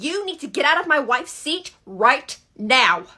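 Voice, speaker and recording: Putting on a character voice, a woman speaks at a high pitch and a moderate pace, her pitch swinging very widely. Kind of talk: comedy skit, playing all parts. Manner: loud, aggressive.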